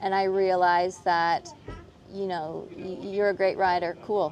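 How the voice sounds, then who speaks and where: Soft-spoken, a woman talks at a medium pitch. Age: 30s. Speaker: professional show jumping rider. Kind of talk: casual interview chat.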